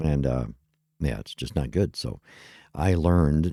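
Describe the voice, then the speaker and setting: A man talks with a very deep, low pitch and a dark, mellow tone. His pitch varies in an ordinary way, and the sound is dry and close with no echo. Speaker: podcast host. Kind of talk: casual solo podcast talk. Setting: home studio with webcam. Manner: rambling, many fillers and restarts.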